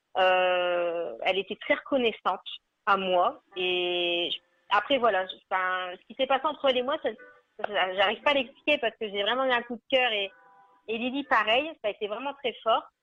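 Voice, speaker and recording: At a moderate pace, a woman with a slight northern French accent talks at a fairly high pitch, with lively intonation and big swings in loudness. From northern France (Nord, Arleux). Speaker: animal welfare association founder. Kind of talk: radio interview.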